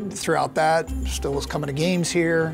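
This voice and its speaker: A man with an American accent over clear music in the background. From Ann Arbor, Michigan, USA. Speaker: college football play-by-play announcer. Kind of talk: interview answer. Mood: relaxed, smiling, reflective. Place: stadium. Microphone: lapel.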